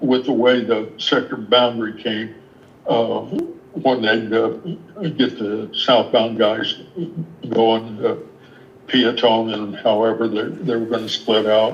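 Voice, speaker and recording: A man with an American accent talks at a very slow pace in a flat monotone at medium pitch, with long, frequent pauses and audible room echo. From South Denver. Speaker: retired air traffic controller. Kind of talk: casual chat. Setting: video call.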